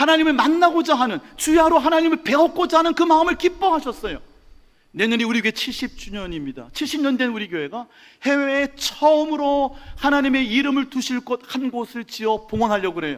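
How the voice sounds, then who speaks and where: A man speaks at a fairly quick pace in an extremely high pitch, with ordinary pitch variation. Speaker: pastor. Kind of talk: sermon. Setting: church. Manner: fast.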